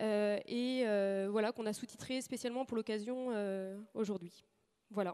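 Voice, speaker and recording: A woman speaks at a fairly slow pace with fairly even intonation. Her voice is fairly high in pitch and dark and mellow in tone. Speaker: agricultural research station manager. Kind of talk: conference talk. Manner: hesitant, many fillers.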